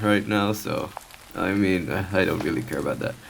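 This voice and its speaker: Very slow speech with noticeable background noise behind it. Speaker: streamer playing a visual novel. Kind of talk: let's play commentary.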